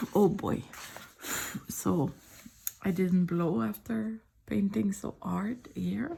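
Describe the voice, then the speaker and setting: Soft-spoken, a woman talks at a very slow pace with long, frequent pauses. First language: French. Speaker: artist. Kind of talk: casual sketchbook tour chat.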